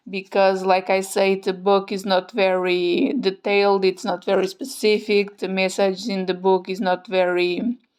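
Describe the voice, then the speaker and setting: A woman talks at a fairly slow pace with a non-native accent. Her intonation is fairly even. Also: very clean recording, silent background. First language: not English. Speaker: tarot content creator. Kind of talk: product review. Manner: hesitant, many fillers.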